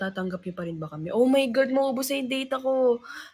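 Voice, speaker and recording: A woman speaks at a fairly quick pace with lively intonation. Her voice is somewhat breathy. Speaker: livestreamer, singer in a group. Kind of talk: casual livestream chat.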